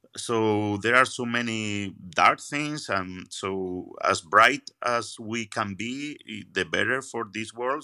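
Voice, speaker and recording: A man's medium-pitched, bright, sharp voice in an Andalusian accent, with ordinary pitch variation and a fairly slow pace, on a very clean recording with a silent background. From Spain, Seville. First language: Spanish. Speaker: magician. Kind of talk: interview conversation. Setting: at a magic venue after a show. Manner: halting, repeats words.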